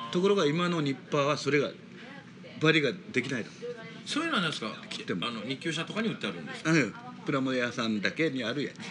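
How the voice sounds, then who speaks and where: Amid noticeable background noise, a man talks at a very fast pace with a fairly high pitch. His intonation is lively, broken by long, frequent pauses. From Kumamoto, Japan. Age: 70s. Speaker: plastic model shop owner. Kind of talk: casual chat.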